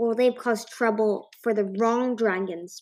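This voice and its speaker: A woman's put-on, growling character voice at a fairly high pitch and a moderate pace. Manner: snarling, vengeful.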